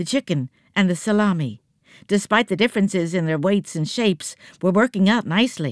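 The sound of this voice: The speaker uses an unforced reading voice with ordinary pitch variation over a quiet background.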